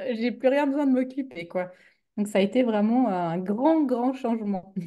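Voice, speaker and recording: The tone is dark and mellow, with ordinary pitch variation. A Swiss accent comes through at a fairly slow pace. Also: woman, fairly high pitch for a woman. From Switzerland. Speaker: business coach, former teacher. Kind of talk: interview conversation. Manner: hesitant, many fillers.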